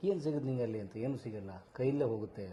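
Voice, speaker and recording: A man with a plain, everyday voice speaks at a medium pitch with ordinary pitch variation over light background noise. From Bengaluru, Karnataka, India. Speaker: theatre artist and director; interview guest. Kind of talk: interview. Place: studio. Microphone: lapel.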